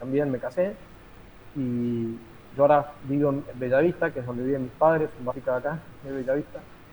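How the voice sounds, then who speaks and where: A man with a Rioplatense accent, medium pitch and ordinary pitch variation. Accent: Argentine Rioplatense Spanish. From Argentina. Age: 50s. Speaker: teacher and lawyer, political activist. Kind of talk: interview. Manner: halting, many fillers.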